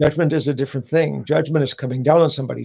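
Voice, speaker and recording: A fairly high male voice with vocal fry and fairly even intonation. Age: 70s. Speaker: pastor. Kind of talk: panel discussion. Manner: preachy, impassioned.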